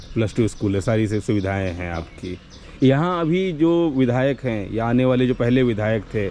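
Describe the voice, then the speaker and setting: A plain, everyday voice from a man at medium pitch, with lively intonation and a moderate pace. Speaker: interviewer. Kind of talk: interview questions.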